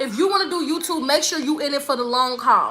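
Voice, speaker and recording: A woman with an American accent raises and projects her voice. She talks fairly quickly with lively intonation. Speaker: spa business coach and YouTuber. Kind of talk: livestream Q&A with viewers. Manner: fast, casual, with some stumbling.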